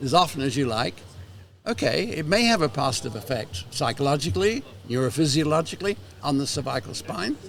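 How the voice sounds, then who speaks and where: The speaker talks at a fairly quick pace with very wide pitch swings, over noticeable background noise. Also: man. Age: 80s+. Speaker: retired manual therapist and former educator. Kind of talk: interview conversation.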